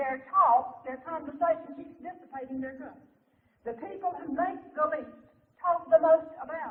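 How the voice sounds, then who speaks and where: A woman speaks in a Southern US accent at a moderate pace. Her intonation is fairly even. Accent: Southern American. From Southern United States. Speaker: minister and lecturer. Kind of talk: live seminar lecture. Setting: live audience.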